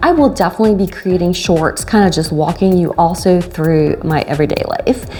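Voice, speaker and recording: A woman's fairly quick speech with ordinary pitch variation, music in the background. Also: medium pitch for a woman, very even loudness. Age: 50s. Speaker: fitness vlogger. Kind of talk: casual talk to camera.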